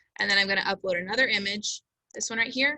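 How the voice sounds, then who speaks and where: A woman talks at a fairly quick pace. Her fairly high voice carries ordinary pitch variation. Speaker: teacher giving staff training. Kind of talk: tutorial. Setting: video call. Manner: fast.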